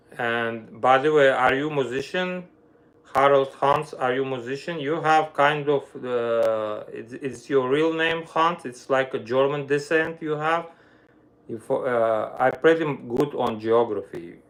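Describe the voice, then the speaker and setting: In an Armenian accent, the speaker talks at a fairly slow pace. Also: man, fairly high pitch for a man, ordinary pitch variation. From Armenia (Soviet Union). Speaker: violinist and music teacher. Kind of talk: casual livestream chat. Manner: halting, non-native phrasing.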